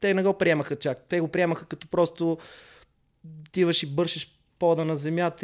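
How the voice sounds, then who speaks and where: A man's normal speaking voice, fairly high in pitch, with fairly even intonation at a moderate pace on a very clean recording with a silent background. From Bulgaria, Sofia. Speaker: breakdancer. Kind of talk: casual interview.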